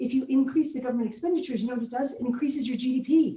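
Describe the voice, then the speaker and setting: A woman with an American accent speaks in a high pitch with a dark, mellow tone and ordinary pitch variation. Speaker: motivational speaker. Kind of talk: keynote speech. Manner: fast; animated.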